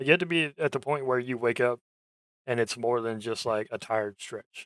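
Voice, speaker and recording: A man speaks in an ordinary speaking voice at a medium pitch, with ordinary pitch variation and a fairly quick pace, in a dry, close sound with no echo. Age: adult, ten years in same job. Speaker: vtuber streamer. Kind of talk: casual chat. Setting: voice chat stream.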